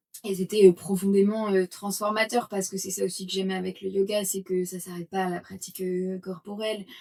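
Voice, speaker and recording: A woman at medium pitch speaks with monotone, flat intonation but big swings in loudness. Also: fairly quick pace. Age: 20s. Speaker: yoga teacher and entrepreneur. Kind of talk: interview testimony. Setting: podcast interview. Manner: hesitant, many fillers.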